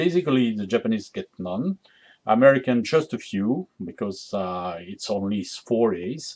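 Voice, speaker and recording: With music in the background, a man speaks at a moderate pace in a French accent, his intonation lively. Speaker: game developer demonstrating a strategy game. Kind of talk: gameplay tutorial. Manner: hesitant, many fillers.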